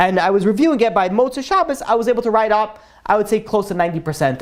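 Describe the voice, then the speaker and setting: An animated man talks at a very fast pace. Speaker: Torah class teacher. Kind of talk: lecture.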